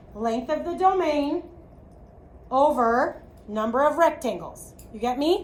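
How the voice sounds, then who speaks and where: A woman's high pitch in an American accent, with ordinary pitch variation, audible room echo and noticeable background noise. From US Midwest, Chicago. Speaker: math teacher. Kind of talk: classroom lecture. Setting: classroom.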